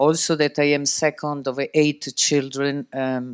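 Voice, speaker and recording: Speaking at a fairly slow pace in an Italian accent, a man with a medium-pitched voice is heard in a dry, close sound with no echo. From Italy. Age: 60s. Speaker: shipping executive. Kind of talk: interview.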